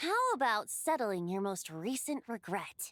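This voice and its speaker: In a put-on character voice, a female-sounding speaker talks at a fairly slow pace with a fairly high pitch. Music plays behind her. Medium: video game. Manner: light, teasing.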